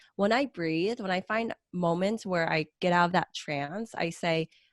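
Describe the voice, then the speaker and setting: This is a woman's voice at medium pitch. The recording is very clean with a silent background. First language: not English (English was her third language). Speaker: event professional. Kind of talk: casual podcast chat.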